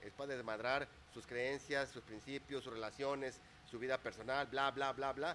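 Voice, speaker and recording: A man's medium-pitched voice, bright and sharp in tone, at a moderate pace. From Mexico, Torreón, Coahuila. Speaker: business and life coach. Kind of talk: interview.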